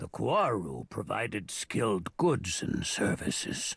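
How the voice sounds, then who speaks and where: A man performs a put-on character voice at a fairly slow pace. His pitch swings very widely. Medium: video game. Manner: slow, cryptic.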